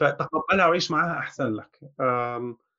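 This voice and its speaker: A man is talking. The tone comes across bright and sharp. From Egypt. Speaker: Egyptian expat in England. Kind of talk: casual chat. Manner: halting.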